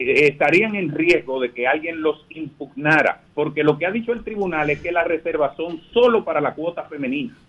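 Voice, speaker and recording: In a normal speaking voice, a man talks at a fairly slow pace, his pitch fairly high with ordinary variation. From Dominican Republic. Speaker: politician, congressional candidate; politician, candidate. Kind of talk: radio interview by phone. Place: studio. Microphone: studio mic.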